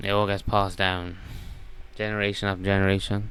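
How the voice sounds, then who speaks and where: Someone speaks at a fairly quick pace, with audible room echo. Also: man. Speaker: self-improvement coach. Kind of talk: casual monologue. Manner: casual.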